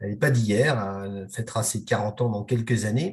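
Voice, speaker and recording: A man is speaking. His voice is somewhat breathy. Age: 60s. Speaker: company president. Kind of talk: interview. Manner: halting, many hesitations.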